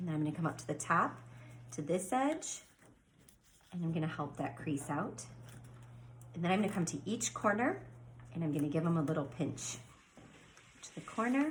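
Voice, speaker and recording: Audible room echo surrounds a woman speaking at a moderate pace with long, frequent pauses. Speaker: elementary school STEAM teacher. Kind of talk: tutorial. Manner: animated.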